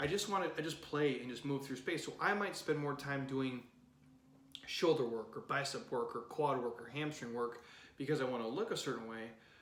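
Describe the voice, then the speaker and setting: A man's fairly high voice is heard with audible room echo and noticeable background noise. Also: ordinary pitch variation, fairly quick pace. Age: 30s. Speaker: fitness coach. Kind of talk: podcast monologue. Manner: animated.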